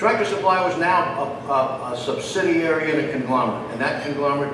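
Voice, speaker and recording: A man's fairly quick speech comes through audible room echo and noticeable background noise. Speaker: presenter. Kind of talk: lecture. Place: stage. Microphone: podium.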